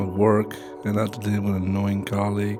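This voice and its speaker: With music in the background, a man talks in a calm tone at a fairly low pitch. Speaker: meditation guide. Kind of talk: guided relaxation. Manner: calm, relaxing.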